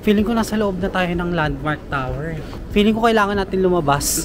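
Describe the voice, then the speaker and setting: There is music in the background and audible room echo. Over it, a man speaks with lively intonation. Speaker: travel vlogger. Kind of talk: walking vlog narration. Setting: outdoors.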